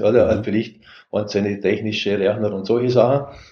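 With fairly even intonation, a man talks in a fairly low register. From Austria, Vorarlberg. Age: 60s. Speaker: software company founder and CEO. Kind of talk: interview.

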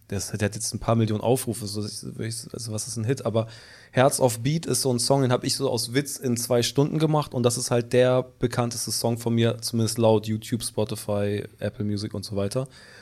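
Medium in pitch and moderate in pace, a man speaks in an ordinary speaking voice with fairly even intonation. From Hamburg. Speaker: singer-songwriter and producer. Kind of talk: casual chat.

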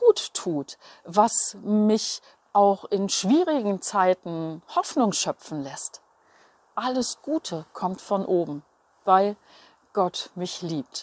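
A woman talks at a very slow pace, medium in pitch, with lively intonation. The recording is very clean with a silent background and a dry, close sound with no echo. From Berlin, Germany. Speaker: journalist and radio presenter. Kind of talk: devotional monologue.

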